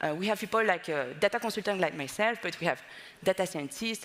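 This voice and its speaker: A woman with a French accent talks very fast at a medium pitch. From France. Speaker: data consultancy partner. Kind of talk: conference presentation. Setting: stage with audience.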